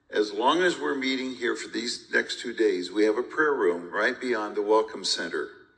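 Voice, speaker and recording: The speech flows with hardly any pauses at a moderate pace. There is audible room echo. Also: man. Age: 70s. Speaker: pastor. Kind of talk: onstage conversation at a conference.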